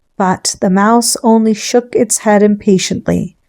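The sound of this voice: Intonation stays fairly even in this unforced reading voice.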